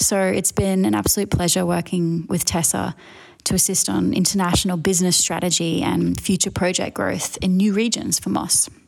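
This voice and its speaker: A woman with an Australian accent speaks at a moderate pace in a fairly low pitch, with ordinary pitch variation and very even loudness, over noticeable background noise. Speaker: design director. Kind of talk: recorded message.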